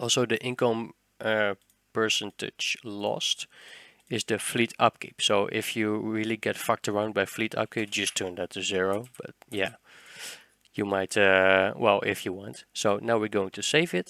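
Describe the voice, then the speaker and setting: In a Dutch accent, a man talks at a fairly slow pace with fairly even intonation, his fairly low voice bright and sharp in tone over a dry, close sound with no echo. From Netherlands. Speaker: gaming tutorial creator. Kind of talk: tutorial. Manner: casual, hesitant with fillers.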